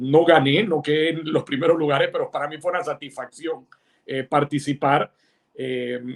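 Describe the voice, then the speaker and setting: This man has a fairly high pitch, a moderate pace and ordinary pitch variation. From Panama. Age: 60s. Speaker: writer and insurance executive. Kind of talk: interview. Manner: halting, many fillers.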